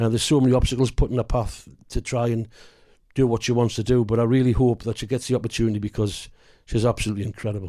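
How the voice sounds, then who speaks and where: A man speaks very fast with a North East England accent in a dark, mellow tone at a medium pitch. His intonation is monotone and flat, on a very clean recording with a silent background. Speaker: actor. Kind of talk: interview.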